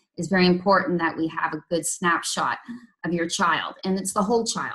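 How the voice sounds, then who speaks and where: A woman with a slight Canadian accent speaks at a fairly low pitch. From Canada. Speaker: intervention specialist teacher. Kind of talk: training presentation. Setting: evening meeting with parents. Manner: hesitant, many ums.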